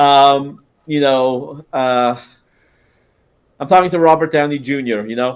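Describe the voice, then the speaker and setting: Speech comes at a fairly slow pace in an American accent. Long pauses occur often. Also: man, fairly high pitch for a man. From California. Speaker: podcast host. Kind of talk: casual chat. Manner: animated.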